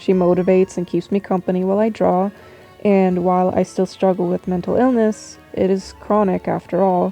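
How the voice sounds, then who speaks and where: Over music in the background, a woman talks at a moderate pace. Her medium-pitched voice is monotone, with flat intonation. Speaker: artist and character designer. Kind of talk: casual voice-over for a drawing video. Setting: low-quality home microphone.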